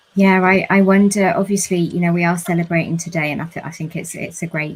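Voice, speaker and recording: A fairly low-pitched woman's voice at a very fast pace. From London, southern England. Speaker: panel moderator. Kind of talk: live panel discussion. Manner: hesitant, repeats words.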